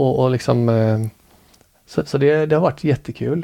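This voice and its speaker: Speaking at a moderate pace, a man has a medium pitch, ordinary pitch variation and a dark, mellow tone. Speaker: amateur ballroom dancer. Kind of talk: casual interview.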